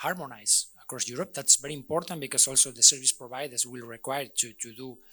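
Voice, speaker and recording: A man in a Spanish accent at a very fast pace with hardly any pauses, a bright, sharp tone, fairly even intonation and big swings in loudness. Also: medium pitch for a man. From Spain. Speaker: energy utility expert, conference panelist. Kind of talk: panel discussion. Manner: halting, many repetitions and fillers.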